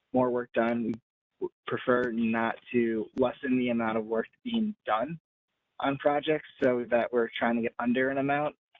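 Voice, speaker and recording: The voice is an unremarkable speaking voice. It moves at a moderate pace with fairly even intonation. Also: man, medium pitch for a man. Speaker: housing program staff presenter. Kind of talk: webinar tutorial. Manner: many filler words.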